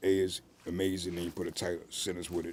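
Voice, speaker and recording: A man's very deep, low voice in an American accent, with monotone, flat intonation. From US South. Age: 60s. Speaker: author. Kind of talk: interview.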